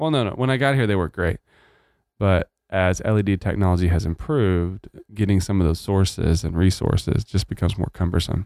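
A man with a very deep, low pitch speaks at a fairly quick pace with ordinary pitch variation and very even loudness. The sound is dry and close with no echo, on a very clean recording with a silent background. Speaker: church pastor and podcast host. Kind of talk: casual chat.

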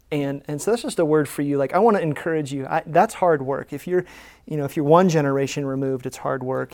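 Someone with an American accent talks at a very fast pace. The recording is very clean, with a silent background. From United States. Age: 30s. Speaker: pastor. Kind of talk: church panel discussion moderation. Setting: church stage with congregation.

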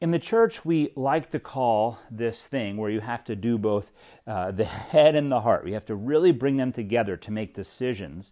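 Speaking at a moderate pace with hardly any pauses, this voice has a dark, mellow tone and lively intonation, captured in a very clean recording against a silent background. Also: man, medium pitch for a man. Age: 40s. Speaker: pastor. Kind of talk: podcast teaching on scripture. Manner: casual, with frequent fillers.

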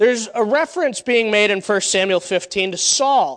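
A man with an American accent speaks at an extremely high pitch. His pace is moderate and his pitch variation ordinary. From Connecticut. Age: 20s. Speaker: pastor. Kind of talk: sermon. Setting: church.

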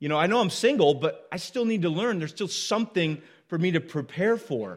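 On a very clean recording with a silent background, a man speaks at a high pitch with lively intonation. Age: 30s. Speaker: pastor. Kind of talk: sermon. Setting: church.

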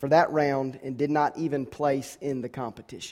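A man with an American accent speaks at a moderate pace in a normal speaking voice, his pitch fairly high. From US South, Georgia. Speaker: pastor. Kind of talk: sermon. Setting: church.

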